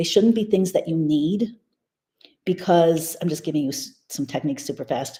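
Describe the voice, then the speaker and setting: Lively intonation carries a woman's voice. Her tone is dark and mellow, somewhat breathy. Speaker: spiritual teacher. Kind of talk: live stream teaching. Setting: live stream with headphones. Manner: fast; animated.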